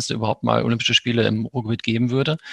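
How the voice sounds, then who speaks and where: With vocal fry in his medium-pitched voice, a man talks at a very fast pace in a dry, close sound with no echo. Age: 50s. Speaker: sports club official. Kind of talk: interview.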